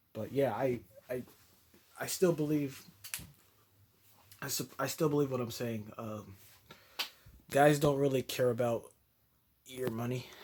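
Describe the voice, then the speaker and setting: Long, frequent pauses break up this man's fairly slow speech. His pitch is medium and his intonation fairly even. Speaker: youtuber reviewing a live stream. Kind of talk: casual commentary. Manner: halting, repeats words.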